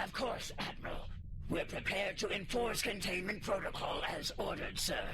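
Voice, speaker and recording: A man puts on a high-pitched character voice against loud background noise. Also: moderate pace. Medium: game stream. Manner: measured, formal.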